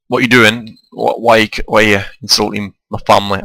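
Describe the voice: A man puts on a character voice in a Liverpool accent, raspy and fairly low-pitched. His delivery is monotone and flat, at a moderate pace. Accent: Liverpudlian.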